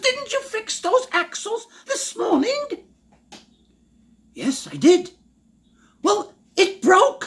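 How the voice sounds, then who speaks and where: Using a put-on character voice of extremely high pitch, a man speaks at a very slow pace with long, frequent pauses. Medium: read story. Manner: gruff.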